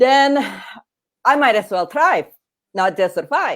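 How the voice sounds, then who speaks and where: With an Indonesian accent, this woman's voice swings very widely in pitch and carries vocal fry. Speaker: grief coach and author, former oncologist. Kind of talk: interview. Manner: halting, many fillers and restarts.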